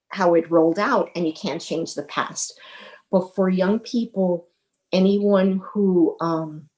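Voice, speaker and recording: At a very slow pace, a woman with an American accent talks at medium pitch with ordinary pitch variation. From New York City (the Bronx). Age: 60s. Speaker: retired teacher. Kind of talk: interview. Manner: halting.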